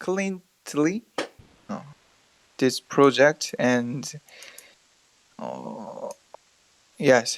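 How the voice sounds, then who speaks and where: In a Korean accent, the speaker goes at a very slow pace with ordinary pitch variation, the sound dry and close with no echo. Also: man. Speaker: community member asking questions. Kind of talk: question in online meeting. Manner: halting.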